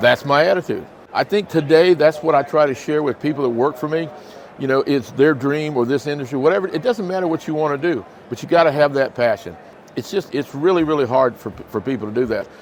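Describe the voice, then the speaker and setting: A man speaks very fast at a fairly high pitch with ordinary pitch variation. Noticeable background noise sits under his voice. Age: 60s. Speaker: reptile breeder and business owner. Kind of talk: interview. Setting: reptile expo. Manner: animated.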